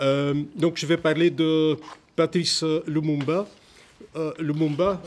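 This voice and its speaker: A man speaks with a non-native accent and a fairly high pitch. His pace is very slow. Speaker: historian, conference speaker. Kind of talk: conference talk. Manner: halting, many hesitations.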